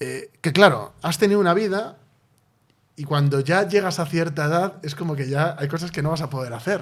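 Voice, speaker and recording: An unremarkable speaking voice from a man with a fairly high pitch. The recording is very clean with a silent background. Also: ordinary pitch variation, moderate pace. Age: 30s. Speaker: podcast host and novelist. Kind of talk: casual interview conversation.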